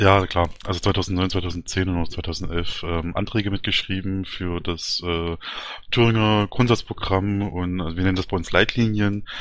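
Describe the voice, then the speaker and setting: At a moderate speed, a man talks in a very deep, low voice, his intonation fairly even. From Thuringia, Germany. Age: 30s. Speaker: party candidate, IT worker. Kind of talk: interview. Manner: hesitant, many fillers.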